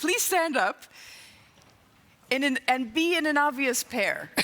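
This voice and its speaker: Lively intonation marks this woman's high-pitched voice at a fairly slow pace. Noticeable background noise runs underneath. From England. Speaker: improv consultant and comedy teacher. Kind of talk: keynote talk on stage. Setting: stage with PA system. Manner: upbeat, humorous.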